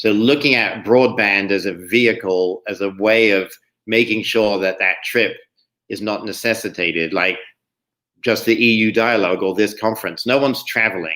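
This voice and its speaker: In a very clean recording with a silent background, a man with an English accent talks at a fairly quick pace, his fairly low voice bright and sharp in tone and his intonation fairly even. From England. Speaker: state climate policy official. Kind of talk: panel discussion.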